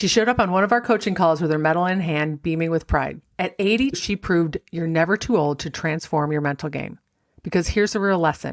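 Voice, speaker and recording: At a fairly quick pace, a woman speaks in a fairly low pitch with ordinary pitch variation. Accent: American. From Rochester, New York. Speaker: mental golf coach. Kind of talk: podcast episode talk.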